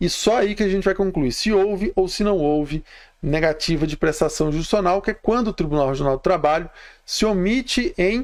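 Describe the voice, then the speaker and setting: A man talks at a fairly quick pace with a high pitch and ordinary pitch variation. The recording is very clean, with a silent background. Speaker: labor law instructor. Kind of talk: live stream lecture. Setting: live stream. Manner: fast.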